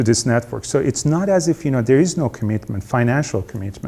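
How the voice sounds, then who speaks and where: A man speaks in a dark, mellow tone that is somewhat breathy. His intonation is lively. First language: not English. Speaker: veterinary researcher, network director. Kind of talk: seminar talk. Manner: halting, many fillers.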